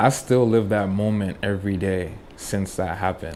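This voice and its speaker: This man has an American accent and a dark, mellow tone. He talks at a moderate pace with a fairly low pitch. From Boston, Massachusetts, US, Trinidadian parents. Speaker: reggae sound system selector. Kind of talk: casual interview chat.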